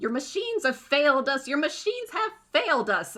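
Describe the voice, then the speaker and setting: This put-on character voice is high-pitched, with very wide pitch swings. The pace is fairly quick. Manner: accusing, sinister.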